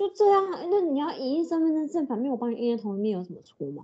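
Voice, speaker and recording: A woman speaks in a high voice with an animated tone. Her pitch swings very widely. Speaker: podcast co-host. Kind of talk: casual chat.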